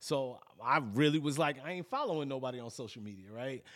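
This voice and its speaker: At a moderate pace and with ordinary pitch variation, the speaker comes through on a very clean recording with a silent background. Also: man. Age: 40s. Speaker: podcast host, TV production worker. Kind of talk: casual chat. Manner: halting.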